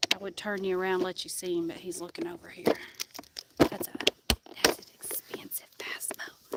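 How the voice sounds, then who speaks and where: A woman's whisper in a Tennessee accent, at a moderate pace, with long, frequent pauses, big swings in loudness and noticeable background noise. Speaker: fishing streamer. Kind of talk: live stream chat. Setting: outdoors on a kayak on a river.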